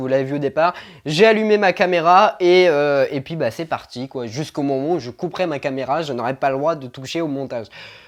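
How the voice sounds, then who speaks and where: Over a quiet background, a man is talking. His speed is moderate and his pitch varies in an ordinary way. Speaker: equestrian vlogger. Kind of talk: casual vlog Q&A. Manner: stumbling, halting with many fillers.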